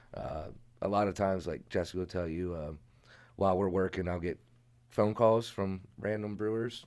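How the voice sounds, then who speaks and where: This man has a very deep, low pitch and an American accent. He talks at a moderate pace with fairly even intonation. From Maryland, Carroll County. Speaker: head brewer. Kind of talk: casual chat.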